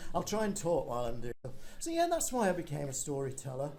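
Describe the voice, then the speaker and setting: In an English accent, a man with a dark, mellow tone talks at a very fast pace with very wide pitch swings, his voice echoing audibly in the room. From northern England. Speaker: storyteller. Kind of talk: casual chat. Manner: halting.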